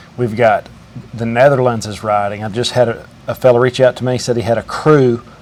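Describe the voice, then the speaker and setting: Noticeable background noise sits behind the voice. A man talks at a moderate pace and a medium pitch. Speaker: welder. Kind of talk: casual interview and commentary to camera.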